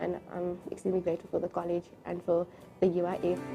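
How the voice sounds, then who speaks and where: A woman talks in a fairly low voice while music plays behind her. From South Africa, Cape Town. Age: young. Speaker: skills program graduate. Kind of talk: testimony. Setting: graduation ceremony.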